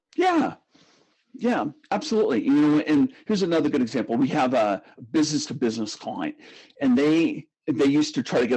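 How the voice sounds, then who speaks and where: A man with lively intonation over background music. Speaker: brand consulting firm CEO. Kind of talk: podcast interview. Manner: fast.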